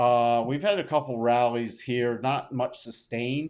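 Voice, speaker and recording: An unremarkable speaking voice from a man, medium in pitch with fairly even intonation, on a very clean recording with a silent background. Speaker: market analyst. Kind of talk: tutorial.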